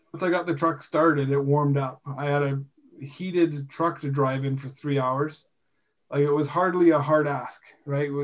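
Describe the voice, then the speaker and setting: A man speaks with a western Canadian accent. His fairly high voice stays monotone, with flat intonation. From British Columbia, Canada (Rocky Mountains). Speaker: podcast host, industrial electrician and bishop. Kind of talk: casual religious discussion.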